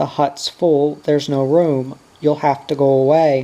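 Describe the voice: A man puts on a squeaky character voice, pitched fairly high. He talks at a moderate pace in a monotone, flat way.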